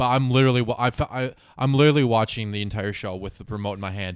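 With an American accent, a man of medium pitch speaks very fast and with fairly even intonation on a very clean recording against a silent background. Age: 20s. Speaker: podcast co-host. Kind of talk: casual chat.

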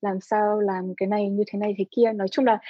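At a fairly high pitch and moderate pace, the woman uses a normal speaking voice. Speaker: visual artist and creative director. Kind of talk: interview.

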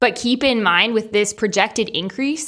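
Speaking at a fairly quick pace, this is a woman. Her pitch varies in an ordinary way. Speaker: podcast co-host. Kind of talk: casual chat. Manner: articulate.

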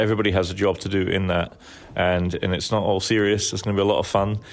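A man talks very fast in a Scottish accent. His fairly low voice is monotone and flat. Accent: mild Scottish. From Scotland. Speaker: event organizer. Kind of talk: interview. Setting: in a church.

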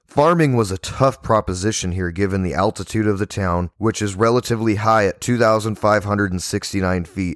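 A man with an unremarkable speaking voice talks at a fairly low pitch and moderate pace, with ordinary pitch variation and a dry, close sound that has no echo. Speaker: podcast host. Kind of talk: history documentary narration. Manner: measured, even-paced and formal, like a teacher reading a well-organized script; clear, steady and informative with little emotional color.

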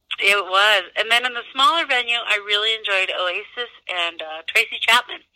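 A woman with an American accent talks at a moderate pace in a fairly high pitch, a plain, everyday voice with ordinary pitch variation. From US Midwest. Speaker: zoo director. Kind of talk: interview.

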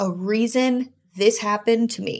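A woman speaks with an American accent at a fairly high pitch. The recording is very clean, with a silent background. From US South (South Florida). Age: 20s. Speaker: director of administration at an equine business. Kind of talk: interview.

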